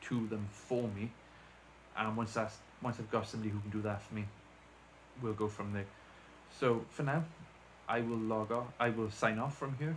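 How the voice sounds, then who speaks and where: The speaker has a strong Welsh accent and a monotone, flat intonation. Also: man. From South Wales. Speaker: deafened YouTuber. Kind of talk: casual vlog talk to camera. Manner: rambling, hesitant with fillers.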